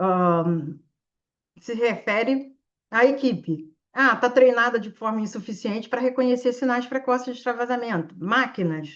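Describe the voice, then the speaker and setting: A woman speaks at a fairly slow pace in a fairly high voice. Her pitch rises and falls in an ordinary way. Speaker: intensive care physician and teacher. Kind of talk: live online exam-prep class with case discussion. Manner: animated.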